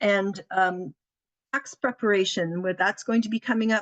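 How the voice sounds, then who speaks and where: A woman speaks at a moderate pace in an unremarkable speaking voice, with medium pitch and fairly even intonation, the sound dry and close with no echo. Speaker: community helpline representative. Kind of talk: presentation.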